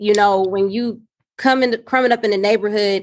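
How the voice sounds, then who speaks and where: A woman with an American accent, talking at a very fast pace with fairly even intonation. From South Los Angeles. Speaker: social worker and nonprofit founder. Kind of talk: podcast interview answer. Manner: casual, conversational.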